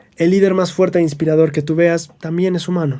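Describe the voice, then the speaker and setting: A man speaks with a fairly high pitch and a dark, mellow tone. His intonation stays monotone and flat. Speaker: religious scripture teacher. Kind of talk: scripture study lesson.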